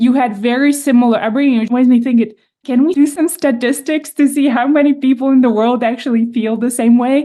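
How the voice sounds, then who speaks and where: With a Czech accent, a woman speaks at a fairly quick pace and high pitch in a dark, mellow tone, keeping fairly even intonation and very even loudness. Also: hardly any pauses. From Czech Republic. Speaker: podcast host. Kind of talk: interview.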